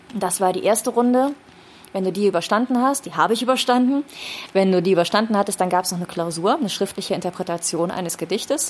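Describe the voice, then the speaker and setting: A woman's very fast speech at medium pitch, with ordinary pitch variation. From Rhineland, Germany (Düren). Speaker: speech trainer. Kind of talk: casual chat. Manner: animated.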